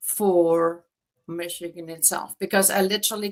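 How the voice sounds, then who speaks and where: A woman talks with a German accent. Her pace is fairly slow. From Germany. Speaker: real estate agent. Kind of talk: interview.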